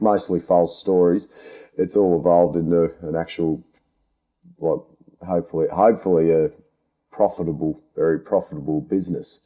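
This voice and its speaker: Speaking at a moderate pace with long, frequent pauses, this man has a strong Australian accent, a very deep, low pitch with ordinary variation and a dark, mellow tone. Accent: broad Australian. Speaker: podcast host, underground miner. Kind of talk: casual interview chat. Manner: halting, repeats words.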